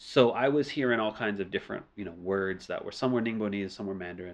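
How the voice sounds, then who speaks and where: With an American accent, a man speaks very fast in a fairly low voice. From US South, New Orleans. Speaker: music producer and studio owner. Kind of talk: casual interview. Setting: studio.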